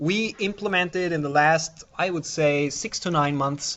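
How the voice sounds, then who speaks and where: Speaking at a moderate pace with a non-native accent, a man uses a fairly high pitch and ordinary pitch variation. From Austria. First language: German. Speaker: software developer, conference speaker. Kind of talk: conference talk. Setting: conference room with audience. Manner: halting, with fillers.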